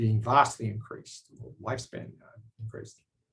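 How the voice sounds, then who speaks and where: A man's somewhat breathy voice in an Australian accent, at a fairly slow pace. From Australia, South Sydney. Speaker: biotech company executive and scientist. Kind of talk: personal talk to camera. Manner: hesitant with fillers.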